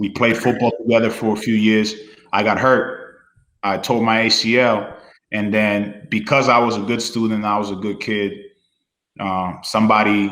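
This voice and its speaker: In a space with audible room echo, a man speaks at a moderate pace in a fairly low, monotone, flat voice. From Dominican Republic, moved to New Hampshire as a child. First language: Spanish. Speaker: former student athlete. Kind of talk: casual interview chat. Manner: relaxed, many fillers.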